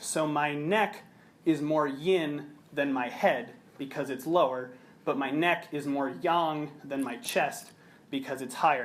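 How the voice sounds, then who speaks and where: The speaker has an American accent and ordinary pitch variation. Room echo is audible. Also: man. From US Midwest, Chicago. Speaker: researcher and yoga teacher. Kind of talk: conference presentation. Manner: fast.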